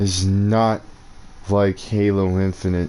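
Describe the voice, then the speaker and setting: The tone is dark and mellow, with an American accent. Intonation stays fairly even. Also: man. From New Mexico, US. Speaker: gaming streamer. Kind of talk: gameplay commentary rant. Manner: slow.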